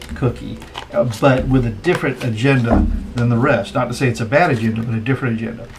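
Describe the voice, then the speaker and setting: A man speaks in an American accent at a medium pitch with ordinary pitch variation. Music plays in the background. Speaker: tarot reader. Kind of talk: tarot reading commentary. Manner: hesitant, many fillers; casual, chatty.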